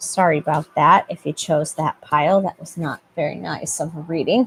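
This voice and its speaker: A woman with a very deep, low voice, somewhat breathy, whose loudness swings widely. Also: ordinary pitch variation, moderate pace, dry, close sound with no echo. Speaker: tarot reader. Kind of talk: tarot reading.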